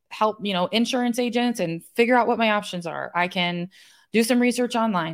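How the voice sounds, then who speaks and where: Her pitch is fairly high and varies in an ordinary way. The recording is very clean, with a silent background. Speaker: podcast host and real estate investor. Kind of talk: pep talk. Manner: earnest, motivational, direct address urging listeners to question excuses; animated, challenging rhetorical questions.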